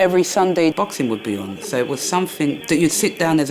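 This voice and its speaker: Over noticeable background noise, a woman with a London accent talks at a fairly quick pace with lively intonation. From London, Peckham. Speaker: former boxer. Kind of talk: documentary interview.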